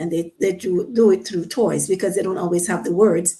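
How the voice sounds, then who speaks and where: With a Panamanian accent, a woman talks in a medium pitch and a dark, mellow tone, using ordinary pitch variation. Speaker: psychiatric nurse and play therapist. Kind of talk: radio interview. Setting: radio studio.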